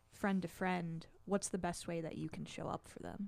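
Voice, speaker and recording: Fairly low in pitch for a woman, an ordinary speaking voice proceeds at a moderate pace with fairly even intonation. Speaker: podcast co-host. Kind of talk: casual podcast conversation. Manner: laughs often, expressive.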